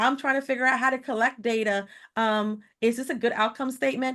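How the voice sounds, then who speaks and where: Against a quiet background, a woman speaks at a high pitch with fairly even intonation. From Caribbean. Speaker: nonprofit consultant. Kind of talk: webinar presentation. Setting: online webinar. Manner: fast.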